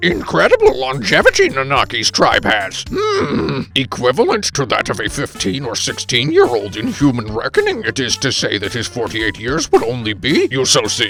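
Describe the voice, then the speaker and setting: Over clear background noise, a man puts on a character voice. His pace is moderate. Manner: slow oddly inverted phrasing.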